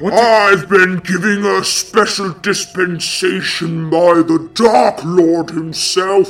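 With light background noise, a woman puts on a booming character voice at a medium pitch, speaking very slowly with hardly any pauses. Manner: haughty, menacing, contemptuous.

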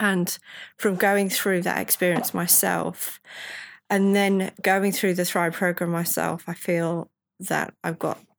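A woman speaks at a fairly slow pace in a monotone, flat intonation. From northern England. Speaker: life coach and consultant. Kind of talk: casual interview chat. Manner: halting, repeats words.

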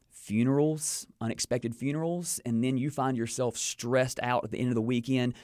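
Fairly quick pace from a man with a North Carolina accent, fairly even intonation, and a very clean recording with a silent background. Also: medium pitch for a man, hardly any pauses. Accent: Southern US (North Carolina). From North Carolina (King, Piedmont). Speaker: pastor and author. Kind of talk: interview.

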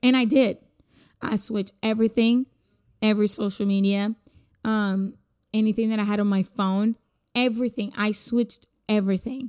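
With a Spanish accent, a woman of fairly high pitch speaks at a moderate pace in a monotone, flat way, leaving long, frequent pauses. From Puerto Rico. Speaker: podcaster. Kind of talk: solo casual podcast monologue. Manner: casual, rambling, conversational.

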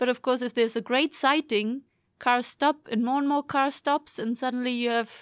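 A woman's high voice with a German accent and fairly even intonation, dry and close with no echo, on a very clean recording with a silent background. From Germany. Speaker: PhD student and course instructor. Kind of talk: casual chat.

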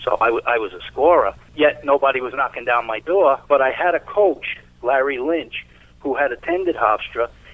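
A man speaks in an ordinary speaking voice with an American accent, his pitch fairly high. He talks at a moderate pace with ordinary pitch variation. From New York City, East Harlem, then Long Island. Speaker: former lacrosse player. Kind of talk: interview.

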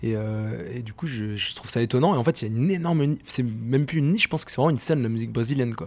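The speech races along at a very fast pace with hardly any pauses. Intonation is lively, and loudness swings widely. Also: man, medium pitch for a man. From France, Rennes (Brittany). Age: 20s. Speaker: singer. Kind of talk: interview. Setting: studio. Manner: halting, many fillers and repetitions.

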